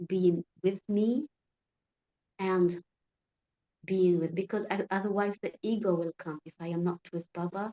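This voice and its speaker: Mid-range female voice, flat and monotone in its intonation. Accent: Arabic. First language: Arabic. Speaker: spiritual study group member. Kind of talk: casual spiritual discussion. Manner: halting.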